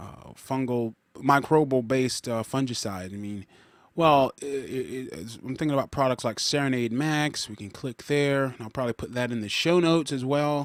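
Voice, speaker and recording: Moderate pace and ordinary pitch variation from a man with a medium-pitched voice. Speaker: gardening podcaster. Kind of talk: screen-recorded walkthrough, casual talk. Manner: halting, many fillers and restarts; thinking aloud, talks to himself.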